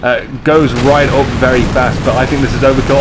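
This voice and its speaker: The pace is moderate, with audible room echo. Music plays in the background. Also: man. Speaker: esports game commentator. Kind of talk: live commentary. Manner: animated.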